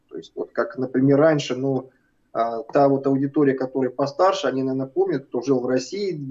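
A man with a dark, mellow tone talks at a fairly quick pace against a quiet background. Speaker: guest. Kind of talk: interview answer. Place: office. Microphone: video call.

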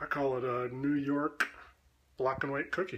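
A man with a Canadian accent, fairly high-pitched, in a flat monotone. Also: moderate pace. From Canada. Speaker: video creator doing an accent tag. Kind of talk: comedic accent tag answers. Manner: joking, playful. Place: kitchen. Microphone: webcam.

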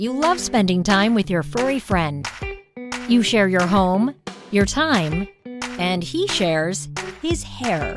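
Music plays in the background as a woman speaks at a very slow pace. Her pitch is medium but swings very widely. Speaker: voice-over artist. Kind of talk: product commercial read.

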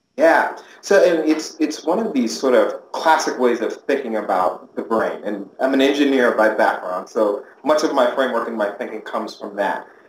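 At a moderate pace, the speech comes with audible room echo and light background noise. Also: man. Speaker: interviewee. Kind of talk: interview answer. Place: office.

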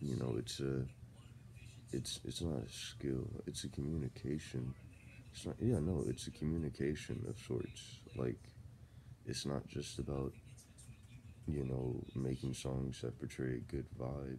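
A man's very deep, low voice with vocal fry and a dark, mellow tone, at a fairly slow pace with long, frequent pauses, ordinary pitch variation and light background noise. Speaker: vlogger. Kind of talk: casual vlog chat, venting opinions. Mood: frustrated but relaxed. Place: home room. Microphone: phone near.

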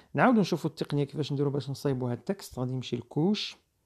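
The recording is very clean with a silent background and the speaker has a Moroccan accent. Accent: Moroccan Arabic with French code-switching. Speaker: video editing instructor. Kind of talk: screen-recorded tutorial.

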